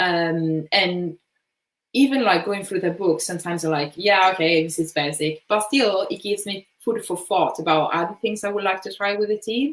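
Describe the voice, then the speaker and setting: The speaker has an Italian accent, a moderate pace and ordinary pitch variation. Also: woman, medium pitch for a woman. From Italy, Bergamo province. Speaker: design manager. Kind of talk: conference Q&A. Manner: hesitant, many fillers.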